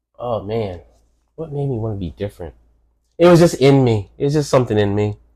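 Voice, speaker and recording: A man with a New York accent speaks in a dark, mellow tone. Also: medium pitch for a man, lively intonation. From New York City. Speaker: host's father, podcast guest. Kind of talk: casual interview. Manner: halting, repeats words.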